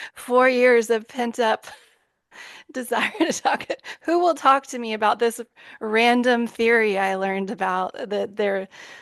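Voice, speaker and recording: A woman speaks with a Texan accent. Her pitch sits fairly high. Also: ordinary pitch variation, fairly slow pace. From Texas. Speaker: podcast host. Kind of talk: casual chat. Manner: animated. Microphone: new microphone.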